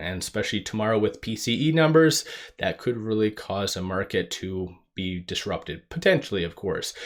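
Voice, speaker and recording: A man talks fairly quickly in a plain, everyday voice, fairly low in pitch with lively intonation. The recording is very clean, with a silent background. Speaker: stock market YouTuber. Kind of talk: market analysis commentary.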